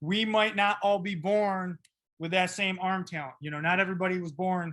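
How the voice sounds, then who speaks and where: A man speaks loudly at a moderate pace. His high-pitched voice has a bright, sharp tone. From upstate New York. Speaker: football coach. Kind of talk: tutorial. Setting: video call. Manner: animated.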